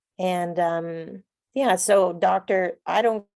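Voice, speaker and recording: A woman's fairly low pitch and fairly even intonation come across in a dry, close sound with no echo. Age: 60s. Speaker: participant. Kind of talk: casual chat.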